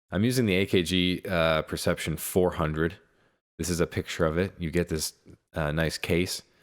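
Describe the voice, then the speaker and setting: A soft-spoken man talks at a moderate pace with fairly even intonation, on a very clean recording with a silent background. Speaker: music producer. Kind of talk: tutorial. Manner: halting.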